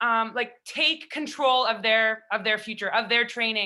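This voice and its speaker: A woman with a Canadian accent speaks loudly at a moderate pace and a fairly high pitch, her tone bright and sharp, in a very clean recording with a silent background. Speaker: national team hockey player. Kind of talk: panel discussion.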